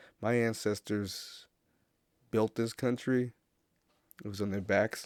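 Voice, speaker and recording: Recorded very cleanly against a silent background, a man with an American accent speaks at a fairly low pitch in a dry, close sound with no echo. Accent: American, some patois. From USA, Caribbean heritage. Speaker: podcast host. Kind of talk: casual monologue. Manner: halting, many fillers.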